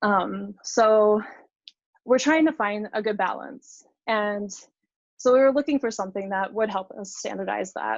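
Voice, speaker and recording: A woman speaks in a normal speaking voice, fairly high in pitch, with ordinary pitch variation at a fairly slow pace. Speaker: software engineer giving a conference talk. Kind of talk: technical presentation. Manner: many fillers and restarts.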